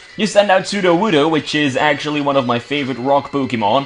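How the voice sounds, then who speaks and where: A man talks at a very fast pace with lively intonation and a fairly high pitch. Music plays in the background. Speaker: gaming video creator. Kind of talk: let's play commentary. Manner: halting, searches for words.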